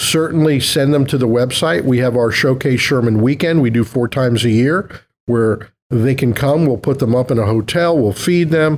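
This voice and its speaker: On a very clean recording with a silent background, a man uses a normal speaking voice at medium pitch, with ordinary pitch variation and a moderate pace. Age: 60s. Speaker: chiropractic college executive. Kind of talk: interview.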